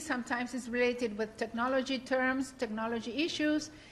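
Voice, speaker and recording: A high-pitched woman's voice in a Spanish accent, with ordinary pitch variation. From Latin America. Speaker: workshop moderator. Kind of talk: panel discussion moderation. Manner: halting, frequent fillers.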